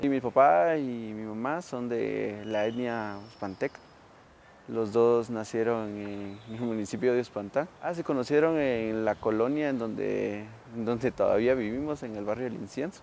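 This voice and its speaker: In a normal speaking voice, a man talks at a fairly slow pace and medium pitch, with ordinary pitch variation. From Guatemala City. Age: 20s. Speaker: interviewee. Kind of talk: interview testimony.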